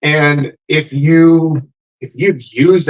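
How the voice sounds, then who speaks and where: Here is a man with an American accent and a fairly high pitch. The sound is dry and close, with no echo. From Texas. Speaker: dating coach and livestream host. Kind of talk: casual group chat on livestream. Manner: animated.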